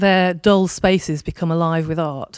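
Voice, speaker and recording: The sound is close and dry, without any echo. A woman does the talking. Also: very clean recording, silent background. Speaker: audience member, arts organization worker. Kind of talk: audience question. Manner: halting.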